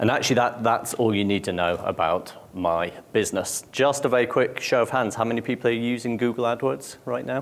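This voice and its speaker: A man with a British accent talks at a medium pitch and a fairly quick pace. He uses ordinary pitch variation and hardly any pauses. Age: 40s. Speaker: conference speaker. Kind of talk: conference talk. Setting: stage with audience.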